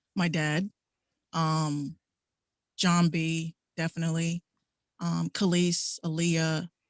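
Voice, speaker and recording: In a New York accent, a woman talks at a very slow pace with a fairly low pitch and monotone, flat intonation, leaving long, frequent pauses, in a dry, close sound with no echo against a quiet background. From New York City, Bronx. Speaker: radio host and music artist. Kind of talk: interview. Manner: halting.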